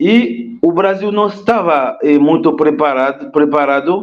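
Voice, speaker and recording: Lively intonation runs through a man's very slow speech. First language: Haitian Creole or French (speaking Portuguese). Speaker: history teacher and immigrant rights activist. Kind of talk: interview. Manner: halting, with fillers.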